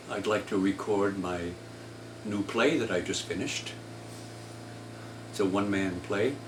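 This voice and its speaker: Amid noticeable background noise and audible room echo, a man with a fairly low pitch and ordinary pitch variation talks at a moderate pace with long, frequent pauses. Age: 80s+. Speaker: artist and playwright. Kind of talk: casual monologue. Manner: halting.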